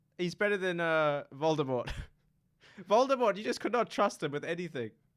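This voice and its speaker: Pitch swings very widely at a moderate pace in this very clean recording with a silent background. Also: man, long, frequent pauses. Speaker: university student. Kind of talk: casual chat. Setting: radio studio.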